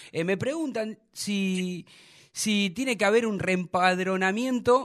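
A man speaks at a very slow pace, his intonation lively. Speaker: sports radio host. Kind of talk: casual radio talk show.

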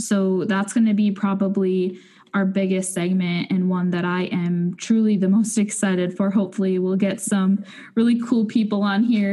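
A woman's somewhat breathy, medium-pitched voice with a dark, mellow tone and monotone, flat intonation, against a quiet background. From North Dakota. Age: 20s. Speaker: podcast co-host. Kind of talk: casual chat.

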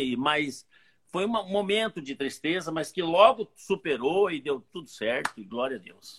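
In a dry, close sound with no echo, a high-pitched man speaks fairly slowly with lively intonation. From Brazil, Santo André (São Paulo). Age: old. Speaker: pastor and magician. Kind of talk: testimony.

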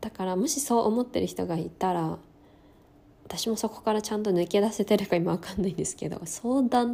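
A woman's medium-pitched, dark, mellow voice with lively intonation at a moderate pace. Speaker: podcast host. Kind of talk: personal monologue. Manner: stumbling over words.

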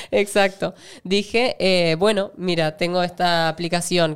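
A woman with an ordinary speaking voice and a fairly low pitch uses ordinary pitch variation in a very clean recording with a silent background. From Argentina. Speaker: actress. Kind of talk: casual interview.

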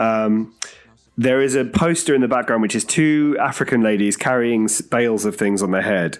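A man speaks at medium pitch with a British accent and a moderate pace. His loudness stays very even, and his pitch varies in an ordinary way. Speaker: film podcast co-host. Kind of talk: casual chat. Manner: laughs often, jokey.

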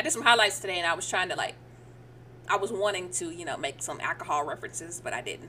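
Over noticeable background noise, a woman speaks very fast in a playful tone. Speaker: podcast co-host. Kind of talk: live sports commentary, play-by-play style reaction to a game clip, mixed with banter. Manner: animated, excited, exclaiming ('Oh Lord') in quick reactive bursts; playful, teasing back-and-forth with co-host.

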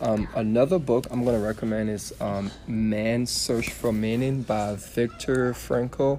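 A man's medium-pitched voice at a fairly slow pace, fairly even in intonation and with hardly any pauses, over noticeable background noise. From Liberia, West Africa. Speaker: fitness influencer. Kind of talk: casual chat. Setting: bookstore, public indoor space. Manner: loud.

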